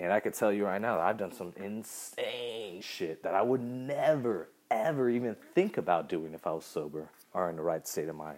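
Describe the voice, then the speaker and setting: Here is a normal speaking voice with an American accent. The pace is moderate and the intonation lively. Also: man, fairly low pitch for a man. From Southern California. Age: 30s. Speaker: podcast host, musician. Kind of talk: personal storytelling monologue. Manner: casual, many fillers.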